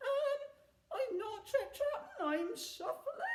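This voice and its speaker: In a squeaky, put-on character voice, someone speaks at a very slow pace with an extremely high pitch and very wide pitch swings. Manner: nervous, hesitant.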